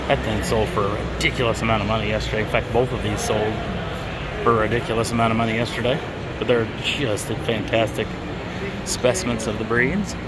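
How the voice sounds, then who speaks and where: Loud background noise accompanies a man's voice, which has a dry sound with no echo. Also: fairly quick pace. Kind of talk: casual walkthrough commentary. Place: hall. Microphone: phone near.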